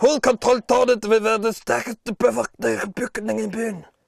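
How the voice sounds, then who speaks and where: A man's put-on character voice, high in pitch for a man. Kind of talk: comic overacting. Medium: comedy sketch. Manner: aristocratic, with added mouth noises.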